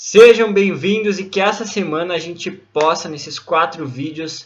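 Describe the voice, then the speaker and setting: A man at a fairly slow pace, high-pitched, with ordinary pitch variation and big swings in loudness. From southern Brazil, Rio Grande do Sul (Santana do Livramento). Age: 20s. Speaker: psychologist and coach. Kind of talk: online course lesson.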